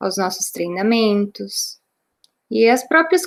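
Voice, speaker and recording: The speaker is a woman with a gaúcho accent. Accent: interior Rio Grande do Sul (gaúcho). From interior of Rio Grande do Sul, Brazil. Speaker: Portuguese teacher and sales consultant. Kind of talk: training talk.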